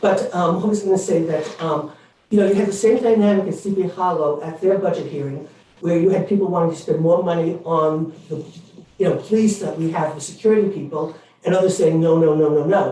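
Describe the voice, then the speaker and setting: With a New York accent, a man talks at a fairly quick pace using fairly even intonation, and audible room echo surrounds his voice. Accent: New York City. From New York City. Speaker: member of the public speaking at a board meeting. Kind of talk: public comment at a meeting. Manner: halting, many fillers.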